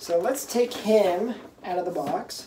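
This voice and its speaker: With light background noise behind him, a man speaks at a fairly slow pace in a high pitch with ordinary pitch variation. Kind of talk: unboxing review chat. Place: home room. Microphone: camera far.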